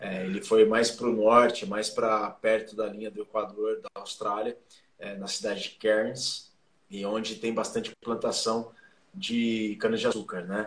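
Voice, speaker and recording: A man at a medium pitch speaks at a fairly slow pace with monotone, flat intonation. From interior of São Paulo state, Brazil (Jaú). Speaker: sports journalist and rugby administrator. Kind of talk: casual interview.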